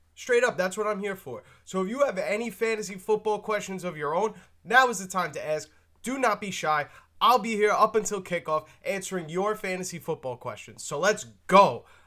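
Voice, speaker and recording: Raised and projected, a man's high, bright, sharp voice carries an animated tone, with ordinary pitch variation, big swings in loudness and a moderate pace on a very clean recording with a silent background. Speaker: fantasy football streamer. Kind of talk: live stream Q&A.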